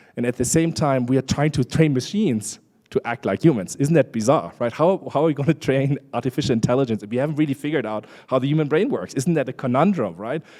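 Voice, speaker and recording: On a very clean recording with a silent background, a man with a German accent talks at a very fast pace with hardly any pauses, his fairly high voice dark and mellow in tone with ordinary pitch variation. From Germany. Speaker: international organization official, conference speaker. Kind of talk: conference presentation. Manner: conversational, with many fillers.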